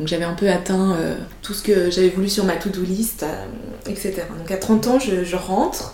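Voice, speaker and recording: A woman talks at a fairly slow pace with long, frequent pauses. Noticeable background noise runs underneath. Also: medium pitch for a woman, fairly even intonation. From Switzerland. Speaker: entrepreneur, founder of a service for mothers. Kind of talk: interview testimony. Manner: soft-spoken.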